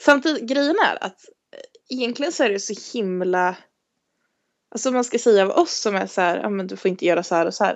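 A woman speaking at medium pitch and a fairly quick pace, her lively intonation interrupted by long, frequent pauses. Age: 20s. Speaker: podcast co-host. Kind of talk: casual chat.

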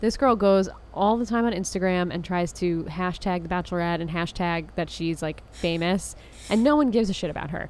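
Speaking at a fairly quick pace, a woman with a fairly low pitch and ordinary pitch variation uses a plain, everyday voice. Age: 30s. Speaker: podcast co-host. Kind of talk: casual chat.

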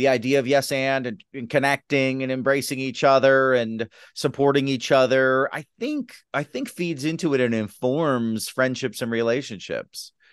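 A plain, everyday voice from a man, at a moderate pace with hardly any pauses, fairly even intonation, and a quiet background. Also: medium pitch for a man. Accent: American. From US Midwest, Detroit, Michigan. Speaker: sketch comedy writer and teacher. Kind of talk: casual interview chat.

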